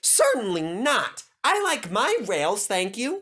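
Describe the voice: Doing a put-on character voice, a man speaks slowly at a high pitch with a fairly bright tone and very wide pitch swings.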